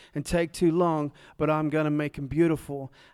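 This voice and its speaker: A man with a Tennessee accent speaks at a moderate pace in a fairly high pitch, his intonation flat and monotone. The recording is very clean, with a silent background. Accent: Southern US (Tennessee). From Nashville, Tennessee. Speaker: speaker sharing testimony, formerly homeless. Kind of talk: testimony. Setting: stage with audience.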